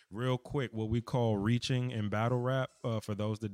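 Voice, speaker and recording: Speaking with an American accent in a monotone, flat intonation, a man sounds dry and close with no echo on a very clean recording with a silent background. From DMV area, US. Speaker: battle rapper. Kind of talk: casual interview conversation.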